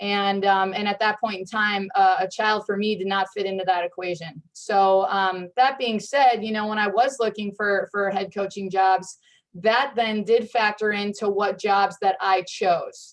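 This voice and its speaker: Speaking in an ordinary speaking voice, a woman keeps a fairly slow pace with hardly any pauses. Her medium pitch follows fairly even intonation. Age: 30s. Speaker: head coach. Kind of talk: panel discussion. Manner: many fillers and restarts.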